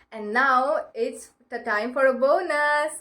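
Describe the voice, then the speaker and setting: A woman with an Indian accent, high pitch, fairly even intonation and a very slow pace. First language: Marathi. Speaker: self-help vlogger. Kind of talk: advice talk to camera. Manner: halting, many fillers.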